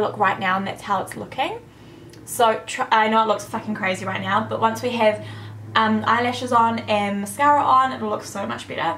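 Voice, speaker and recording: With audible room echo and noticeable background noise, a woman talks at a fairly high pitch. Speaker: beauty vlogger. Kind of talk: makeup tutorial. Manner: fast; casual.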